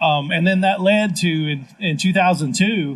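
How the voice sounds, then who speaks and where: This man speaks in a Southern US accent with a high pitch. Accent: Southern twang. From Tennessee (Lynchburg). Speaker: city government official. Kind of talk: live panel discussion. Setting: live stage at festival. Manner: halting, with fillers.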